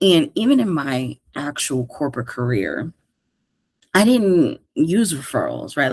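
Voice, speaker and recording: An animated woman with an American accent talks at a moderate pace, her pitch swinging very widely. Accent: New York accent, heavy lately. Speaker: career coach podcast host. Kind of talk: casual podcast monologue.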